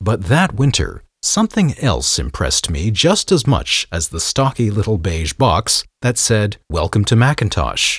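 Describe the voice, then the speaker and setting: A man with a fairly low pitch and vocal fry speaks at a fairly slow pace, his pitch swinging very widely and hardly any pauses between words. The recording is very clean, with a silent background and a dry, close sound free of echo. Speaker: podcast host. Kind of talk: scripted narration.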